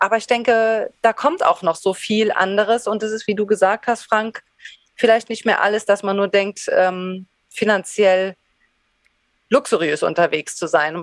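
A woman with an unremarkable speaking voice talks at a fairly slow pace and a medium pitch with ordinary pitch variation. The sound is dry and close, with no echo. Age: 40s. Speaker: former teacher turned potter. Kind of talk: interview.

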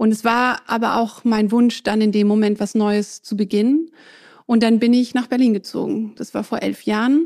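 A woman with a fairly high voice talks at a moderate speed, her intonation fairly even. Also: very clean recording, silent background. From southern Germany. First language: French (speaking German). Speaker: fashion entrepreneur. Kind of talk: interview.

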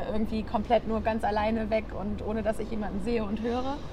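Music plays in the background, and the room echo is audible. The intonation is monotone and flat. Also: woman. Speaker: podcast host, bank employee. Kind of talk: interview. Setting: outdoors on a bench at the harbour.

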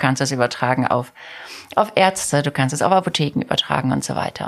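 A woman's animated, very fast speech with lively intonation, amid noticeable background noise. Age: 50s. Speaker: company CEO. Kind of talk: interview.

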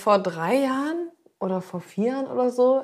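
Speaking in a normal speaking voice, a woman talks at a moderate pace with lively intonation on a very clean recording with a silent background. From northern Germany, Zeven between Bremen and Hamburg. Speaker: chef, podcast co-host. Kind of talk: casual chat.

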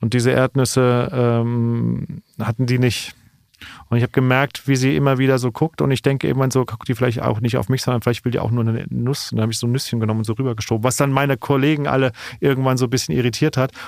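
A very fast pace with fairly even intonation in a dry, close sound with no echo. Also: man, medium pitch for a man. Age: 40s. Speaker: stand-up comedian. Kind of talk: casual chat. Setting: studio.

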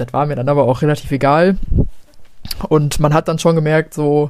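Speaking at a moderate pace, the woman has a very deep, low voice. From Germany, Ruhr area (Gelsenkirchen). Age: 20s. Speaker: teacher and social media creator. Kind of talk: casual chat.

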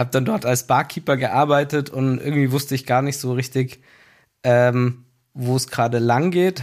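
A man's plain, everyday voice at medium pitch and moderate pace, on a very clean recording with a silent background. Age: 30s. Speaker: business executive. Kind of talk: casual interview. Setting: studio in a basement.

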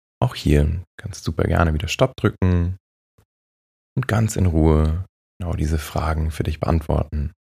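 In a dry, close recording with no echo, a man with a very deep, low pitch speaks in a calm, gentle, dark and mellow tone, somewhat breathy, with ordinary pitch variation and long, frequent pauses. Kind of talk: guided meditation, soothing. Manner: slow, calm, soft-spoken, meditative; long pauses, hushed gentle guidance.

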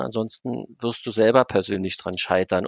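Recorded dry and close with no echo, a man talks at a moderate pace with ordinary pitch variation. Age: 50s. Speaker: owner of an engineering firm. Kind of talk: podcast interview. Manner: hesitant, many fillers.

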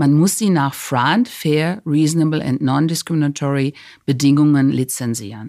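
A woman's very deep, low voice at a moderate pace. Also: ordinary pitch variation. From Cologne, Germany. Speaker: patent executive. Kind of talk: interview.

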